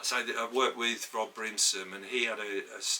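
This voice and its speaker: A man talks at a moderate pace while noticeable background noise carries on around him. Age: 60s. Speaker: podcast co-host, former photographer's assistant. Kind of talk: casual chat. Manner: halting.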